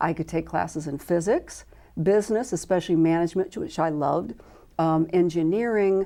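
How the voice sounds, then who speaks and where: On a very clean recording with a silent background, a woman with a Midwestern accent speaks at a moderate pace in a fairly low, dark, mellow voice with ordinary pitch variation. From US Midwest, Illinois and Iowa. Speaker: medical volunteer corps coordinator. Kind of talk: interview.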